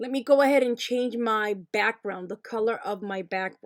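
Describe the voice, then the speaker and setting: In a dry, close sound with no echo, a woman with an unremarkable speaking voice talks at a moderate pace and fairly high pitch with ordinary pitch variation. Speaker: crafting tutorial creator. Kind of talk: tutorial.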